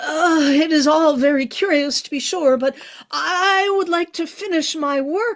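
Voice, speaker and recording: A high-pitched, put-on character voice talks at a fairly slow pace. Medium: solo performance.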